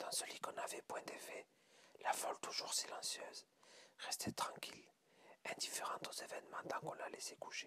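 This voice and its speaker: Someone whispers, leaving long, frequent pauses. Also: moderate pace. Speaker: ASMR reader. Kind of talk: ASMR short story reading. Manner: whispered.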